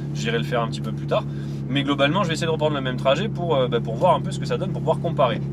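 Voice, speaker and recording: Audible room echo and noticeable background noise accompany a man speaking at a very fast pace. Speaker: car vlogger. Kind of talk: driving vlog commentary. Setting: in a car. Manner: loud.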